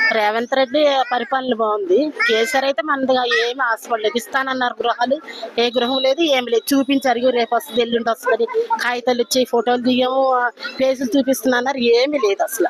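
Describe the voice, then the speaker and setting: A woman speaks in a high pitch with ordinary pitch variation and very even loudness. The sound is dry and close with no echo, with noticeable background noise. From Vizianagaram, Andhra Pradesh, India. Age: old. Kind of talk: street interview answer.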